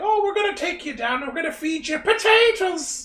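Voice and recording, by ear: This is a put-on character voice pitched extremely high. It moves at a fairly quick pace over light background noise.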